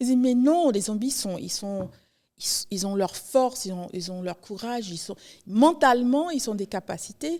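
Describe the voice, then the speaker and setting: A woman speaks at a fairly slow pace in a fairly high, dark and mellow voice, her intonation lively and her loudness swinging widely, on a very clean recording with a silent background. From New York (Haitian-born, arrived age two). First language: English (speaking French). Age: 40s. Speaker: writer. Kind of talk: podcast interview. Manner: halting, with frequent repetitions.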